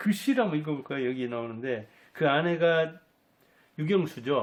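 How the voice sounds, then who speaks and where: A man with a fairly high pitch, at a fairly slow pace. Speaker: life coach and commentator on history. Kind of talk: talk-style lecture to camera.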